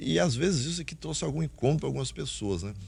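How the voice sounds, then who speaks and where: A man speaks at a very fast pace with very wide pitch swings. Vocal fry runs through his voice. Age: 60s. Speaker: pastor. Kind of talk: testimony.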